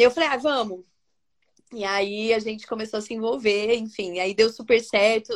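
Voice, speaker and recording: This is an ordinary speaking voice from a woman, fairly high in pitch, with fairly even intonation and a moderate pace. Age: 40s. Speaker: entrepreneur, founder of a decor brand. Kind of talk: casual interview. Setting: live video stream.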